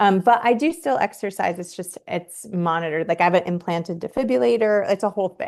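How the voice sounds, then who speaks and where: A woman with an ordinary speaking voice, an American accent, medium pitch, lively intonation and a fairly quick pace, against a quiet background. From upstate New York and Vermont. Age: 40s. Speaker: physical therapist and former marathon runner. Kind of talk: interview.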